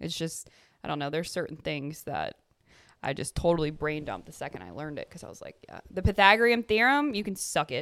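On a very clean recording with a silent background, a woman speaks very fast, her intonation lively and her loudness rising and falling sharply. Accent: Louisiana. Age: 20s. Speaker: podcast co-host. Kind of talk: casual chat between two friends. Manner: animated, chatty.

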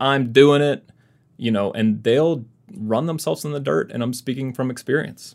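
In a very clean recording with a silent background, a man with a plain, everyday voice talks at a moderate pace with ordinary pitch variation. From US South, Mississippi. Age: 30s. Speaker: classical guitarist and YouTuber. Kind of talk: casual interview chat.

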